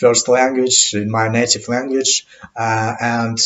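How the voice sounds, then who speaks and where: Speaking at a very slow pace, a man with a medium pitch talks with a non-native accent. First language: not English. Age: 30s. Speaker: English learner vlogger. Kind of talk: unscripted monologue podcast. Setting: home webcam recording. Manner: halting, many fillers.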